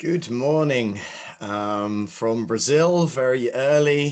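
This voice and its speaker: With a British accent, a man talks at a very slow pace in a medium pitch. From UK. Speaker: session moderator. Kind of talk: conference moderation.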